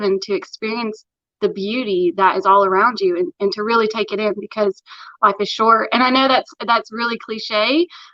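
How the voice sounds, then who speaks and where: A woman with a strong Appalachian accent, fairly high pitch and a bright, sharp tone, at a moderate pace with ordinary pitch variation. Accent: thick Appalachian. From Tennessee, Morristown near Knoxville. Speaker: interview guest. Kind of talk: casual interview chat.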